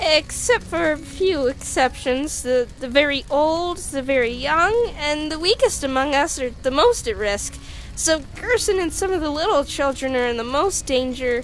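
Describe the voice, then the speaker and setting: A female-sounding voice uses a put-on character voice with a high pitch for a woman at a moderate pace. Clear background noise is present throughout. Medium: dub. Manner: hesitant, stammering.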